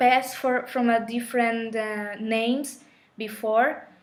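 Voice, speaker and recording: Speaking very slowly with a Colombian accent, a woman uses a fairly high pitch, and audible room echo surrounds her voice. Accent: Colombian Spanish accent, noticeable. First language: Spanish. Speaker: spiritual teacher. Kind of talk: live stream talk. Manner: halting.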